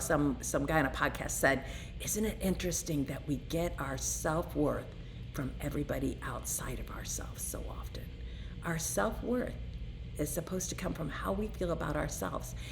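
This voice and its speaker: Music plays in the background and the room echo is audible as the speech moves at a fairly quick pace. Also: woman. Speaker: recovering alcoholic vlogger. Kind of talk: personal testimony. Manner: animated.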